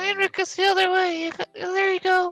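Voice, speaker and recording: A squeaky, put-on character voice of extremely high pitch, fairly quick and monotone in intonation. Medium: actual play.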